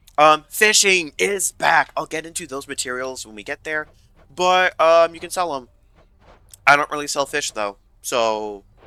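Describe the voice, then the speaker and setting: A man with an American accent talks at a fairly slow pace and a fairly high pitch, his pitch swinging very widely. Music plays in the background. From US South. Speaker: gaming YouTuber. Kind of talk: gameplay commentary. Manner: casual, many fillers and restarts.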